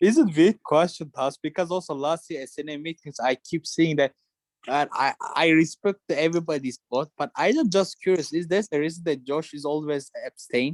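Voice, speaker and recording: Speaking with a non-native accent, a man uses a fairly high pitch. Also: ordinary pitch variation, moderate pace, dry, close sound with no echo. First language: not English. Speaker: student committee member. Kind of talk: committee meeting discussion. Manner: halting.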